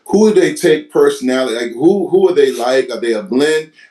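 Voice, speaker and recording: Moderate-paced speech from a man with an American accent, with noticeable background noise behind him. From US, Virginia Hampton Roads. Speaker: podcast host. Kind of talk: casual interview.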